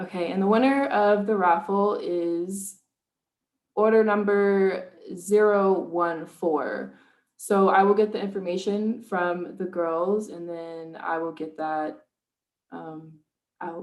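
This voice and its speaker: Speaking at a very slow pace, a woman uses a medium pitch and fairly even intonation. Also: big swings in loudness. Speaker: small business owner, candle maker. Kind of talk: casual talk on a virtual event.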